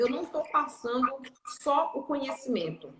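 A woman speaks in a raised, projected voice at a high pitch. Her pace is moderate. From Brazil, interior of Pará. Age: 30s. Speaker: financial educator. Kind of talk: live stream interview.

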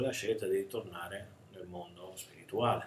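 With audible room echo around him, a man speaks at a moderate pace and a medium pitch. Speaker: spiritual teacher. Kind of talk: recorded video talk. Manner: hesitant, many filler sounds.

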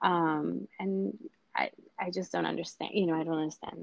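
At a moderate pace, a woman speaks in an American accent. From New York City (Queens). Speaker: hospital-based midwife. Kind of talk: interview. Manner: hesitant, many fillers.

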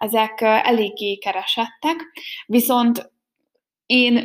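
A fairly high-pitched woman's voice with ordinary pitch variation. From Hungary, Békéscsaba. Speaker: podcaster. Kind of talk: casual monologue. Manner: hesitant, many fillers.

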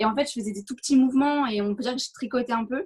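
A very fast pace with ordinary pitch variation. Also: woman. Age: 20s. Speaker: race walker. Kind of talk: interview.

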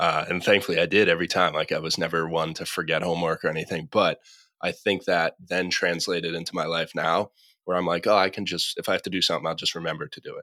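Someone with an American accent speaks at a very fast pace, in a dry, close sound with no echo. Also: man. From Massachusetts, US. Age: 20s. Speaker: entrepreneur. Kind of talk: casual chat. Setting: call.

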